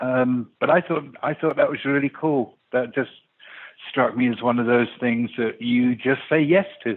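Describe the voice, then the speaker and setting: A man talks in a normal speaking voice at a medium pitch with ordinary pitch variation. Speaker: music industry veteran. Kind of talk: casual interview. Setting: phone call.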